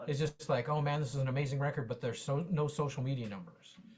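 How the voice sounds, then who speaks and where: A man with an American accent talks at a fairly quick pace and fairly high pitch. His tone is animated and somewhat breathy. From US West, Las Vegas. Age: 60s. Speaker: drummer and music teacher. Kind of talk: Q&A question in an online workshop. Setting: video call. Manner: halting.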